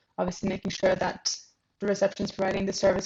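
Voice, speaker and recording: A woman's voice comes across as somewhat breathy. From Norway, abroad since sixteen. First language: Norwegian. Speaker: ship reception manager. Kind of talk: interview.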